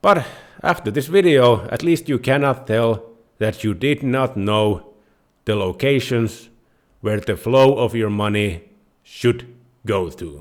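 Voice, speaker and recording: In a very clean recording with a silent background, a man with a Finnish accent speaks at a very slow pace and a medium pitch, using lively intonation and long, frequent pauses. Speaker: personal finance YouTuber. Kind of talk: tutorial.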